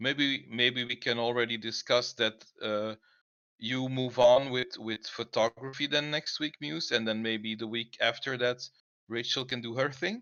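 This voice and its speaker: A man with a non-native accent speaks at a medium pitch and a fairly slow pace, keeping a fairly even intonation. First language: not English. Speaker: co-host of online creative hangout. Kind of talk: casual group video chat presentation. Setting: online voice chat on Discord. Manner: halting, many fillers and restarts.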